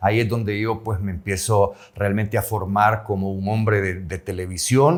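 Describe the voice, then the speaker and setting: Fairly even in intonation and moderate in pace, this is an unremarkable speaking voice. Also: man. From El Salvador. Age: 60s. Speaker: journalist and former news anchor. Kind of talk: interview.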